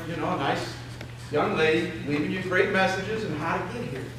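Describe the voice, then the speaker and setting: A man with an American accent talks at a fairly quick pace, with noticeable background noise and audible room echo. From Chicago, US Midwest. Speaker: financial planner. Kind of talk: seminar presentation. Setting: stage with audience. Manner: fast.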